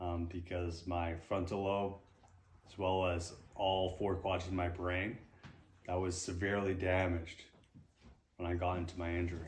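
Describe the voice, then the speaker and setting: A man with a very deep, low pitch speaks in a flat monotone, somewhat breathy, with long, frequent pauses. Audible room echo surrounds his voice. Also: moderate pace. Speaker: retired marine sergeant, brain injury survivor. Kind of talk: interview. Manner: delayed, halting speech; repetitive.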